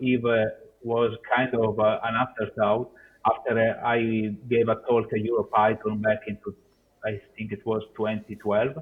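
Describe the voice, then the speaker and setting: Delivered at a moderate pace, a man's medium-pitched voice stays monotone and flat. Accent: non-native. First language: Italian. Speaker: software developer. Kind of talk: conference Q&A. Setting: video call. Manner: halting, many fillers.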